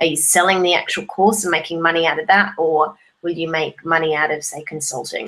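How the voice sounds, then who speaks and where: A woman with an unremarkable speaking voice uses a fairly low pitch, fairly even intonation and a moderate pace. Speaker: online course creator and social media educator. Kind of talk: solo video tutorial.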